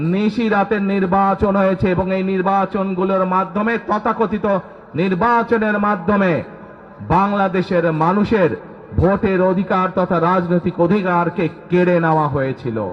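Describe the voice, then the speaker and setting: This man's voice is high-pitched with fairly even intonation. His loudness stays very even against noticeable background noise. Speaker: politician. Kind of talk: political rally speech. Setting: outdoors.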